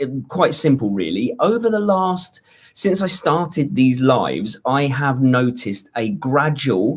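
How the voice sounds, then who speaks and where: Speaking very slowly, a man with a British accent uses lively intonation. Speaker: YouTube fitness coach. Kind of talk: live stream Q&A. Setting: hotel room on holiday. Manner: quieter than usual, voice kept down.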